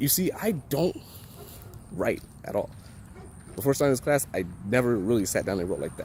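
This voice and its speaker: A man with very wide pitch swings amid noticeable background noise. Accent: American. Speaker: college student. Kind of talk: vlog. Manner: casual.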